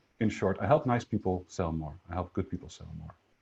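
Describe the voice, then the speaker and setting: A man's fairly low, somewhat breathy voice at a very fast pace, against a quiet background. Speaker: sales coach. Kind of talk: webinar presentation. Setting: online webinar.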